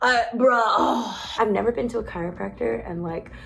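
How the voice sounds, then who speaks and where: This woman's voice sits at a fairly high pitch, with ordinary pitch variation and an animated tone. Noticeable background noise runs under the recording. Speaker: cannabis vlogger. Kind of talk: casual vlog.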